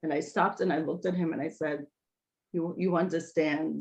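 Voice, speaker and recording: A woman at a moderate pace with a New York accent. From Brooklyn, New York. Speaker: speech language pathologist and author. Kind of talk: interview answer.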